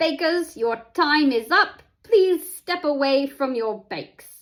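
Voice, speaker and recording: The speaker puts on a character voice with a British accent as part of the act, talking at a fairly slow pace with lively intonation. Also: woman, high pitch for a woman. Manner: attempted, imperfect accent; announcing.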